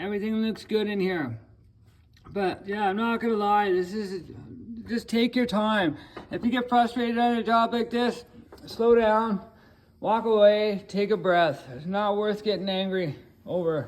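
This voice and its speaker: This man has a high voice and talks at a fairly slow pace, with long, frequent pauses and ordinary pitch variation. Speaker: auto mechanic. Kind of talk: repair tutorial. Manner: casual, hesitant with fillers.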